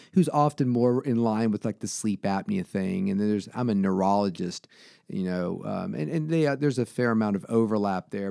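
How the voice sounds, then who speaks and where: A man with an American accent, medium pitch and a dark, mellow tone, fairly quick in pace with very wide pitch swings, in a dry, close recording with no echo. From Southwest Virginia (Salem). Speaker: sleep doctor. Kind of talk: casual interview. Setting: doctor's office.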